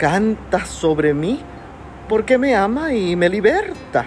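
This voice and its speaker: Over noticeable background noise, a woman speaks very slowly with very wide pitch swings. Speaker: devotional speaker. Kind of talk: devotional.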